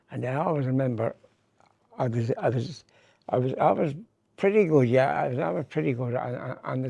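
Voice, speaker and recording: Speaking with a Limerick accent, a man uses lively intonation and a dark, mellow tone. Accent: Limerick Irish. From Ireland, Limerick. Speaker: comedian. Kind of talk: interview. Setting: hotel. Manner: halting.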